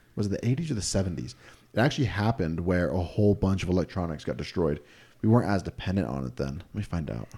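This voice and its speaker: With an American accent, this speaker talks at a very fast pace in a dark, mellow tone with vocal fry and very wide pitch swings, in a very clean recording with a silent background. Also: man, very deep, low pitch for a man. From Utah. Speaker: podcast co-host. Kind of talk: casual chat.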